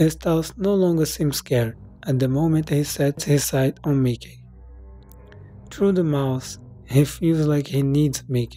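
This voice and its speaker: A fairly slow pace with music in the background. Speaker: storyteller. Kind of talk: horror story reading.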